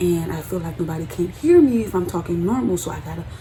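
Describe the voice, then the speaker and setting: A woman's voice comes through with noticeable background noise and audible echo from the room. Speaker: beauty vlogger. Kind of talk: personal vlog monologue.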